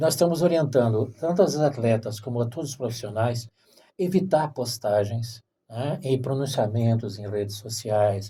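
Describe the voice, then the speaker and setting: A man speaks at a moderate pace and a medium pitch, his dark, mellow tone somewhat breathy, with ordinary pitch variation. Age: 60s. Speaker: podcast host. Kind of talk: interview. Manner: halting, with repeated syllables.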